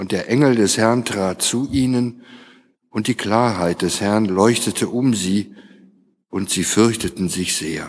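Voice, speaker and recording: On a very clean recording with a silent background, a man speaks very slowly with a fairly low pitch and ordinary pitch variation. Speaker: lector. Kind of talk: scripture reading aloud in a service. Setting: church.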